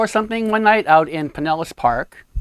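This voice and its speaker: A man with a New England accent, lively intonation, and a dry, close sound with no echo. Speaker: photographer and show host. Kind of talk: casual interview.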